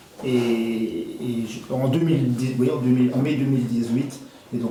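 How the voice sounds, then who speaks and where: There is audible room echo and noticeable background noise behind a man at medium pitch. He talks at a fairly slow pace with fairly even intonation. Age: 60s. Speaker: cooperative shop employee. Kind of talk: interview. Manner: halting.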